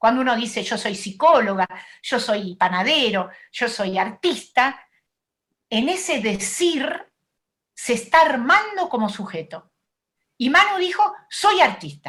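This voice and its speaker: Speaking at a fairly slow pace with long, frequent pauses, a woman uses a high pitch, very wide pitch swings and a bright, sharp tone. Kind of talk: talk at an online event.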